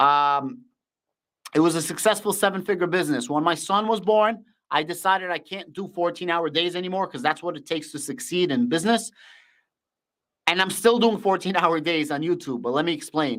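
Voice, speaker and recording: With a Russian accent, a man speaks at a high pitch and a fairly quick pace in an animated tone with ordinary pitch variation, in a very clean recording with a silent background. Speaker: finance YouTuber. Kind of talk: live stream Q&A.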